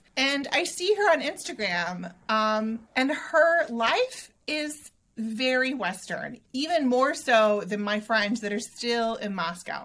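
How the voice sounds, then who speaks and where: A woman's high voice with a bright, sharp tone and lively intonation. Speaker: writer and podcaster. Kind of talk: interview. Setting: video call.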